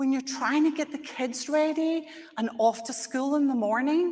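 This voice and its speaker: A woman speaks with high pitch at a moderate pace. Her pitch variation is ordinary. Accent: Scottish. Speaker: conference speaker. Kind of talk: conference presentation.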